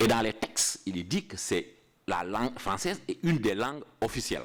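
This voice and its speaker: A man talks at a fairly slow pace. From Senegal. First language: Pulaar (Fula) (speaking French). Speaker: international civil servant giving a lecture. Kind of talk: lecture. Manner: halting, with repetitions.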